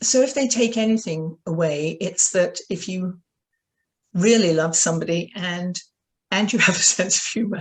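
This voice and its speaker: A woman speaks with a British accent in a somewhat breathy voice. Her medium pitch shows ordinary variation, and her pace is moderate. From Britain. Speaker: author. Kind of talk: interview.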